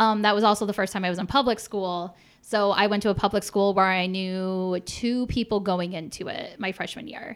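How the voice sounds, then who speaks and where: With a Michigan accent, a woman of medium pitch speaks at a moderate pace with fairly even intonation and hardly any pauses, on a very clean recording with a silent background. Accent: Midwestern American (Michigan). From suburb of Detroit, Michigan. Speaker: comedian. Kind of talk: casual chat. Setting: home studio.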